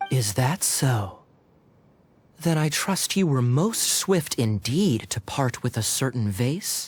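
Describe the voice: Using a put-on character voice, a man speaks slowly at a medium pitch with big pitch swings and a slightly husky edge.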